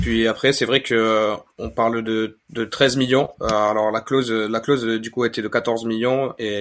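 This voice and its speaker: A man speaks at a very slow pace with a medium pitch and fairly even intonation. The recording is very clean and the background silent. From Spain, Granada. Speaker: football fan account manager. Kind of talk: casual podcast discussion.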